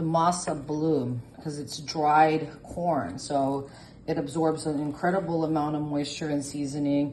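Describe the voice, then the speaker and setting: A woman speaks at a fairly slow pace with a very deep, low pitch and monotone, flat intonation. Audible room echo surrounds her voice. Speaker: home cook. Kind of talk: cooking tutorial. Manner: casual, with fillers.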